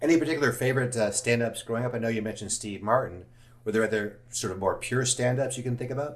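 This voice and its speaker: Somewhat breathy speech comes very fast in an American accent. Pitch varies an ordinary amount. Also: man, medium pitch for a man. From Los Angeles, US. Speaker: podcast host. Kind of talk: casual interview.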